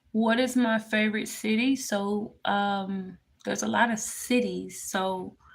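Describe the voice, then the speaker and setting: With a Memphis accent, a woman speaks in a somewhat breathy voice of medium pitch and fairly even intonation, on a very clean recording with a silent background. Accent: US Southern (Memphis). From Memphis, Tennessee. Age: 20s. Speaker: spiritual tarot reader livestreamer. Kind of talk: casual livestream Q&A. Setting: live stream.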